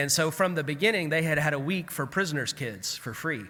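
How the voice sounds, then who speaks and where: With a Southern US accent, the voice has a bright, sharp tone and vocal fry, moving at a moderate pace in a very clean recording with a silent background. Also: man. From US South. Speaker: clergy keynote speaker. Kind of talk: keynote address. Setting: conference at a camp with audience. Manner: conversational, storytelling.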